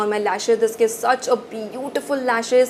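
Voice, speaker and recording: A woman amid noticeable background noise. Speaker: beauty youtuber. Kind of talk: product review. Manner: fast; animated.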